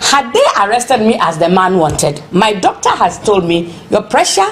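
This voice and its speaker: A woman talks fairly slowly while noticeable background noise carries on. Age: 60s. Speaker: protester. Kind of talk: interview testimony.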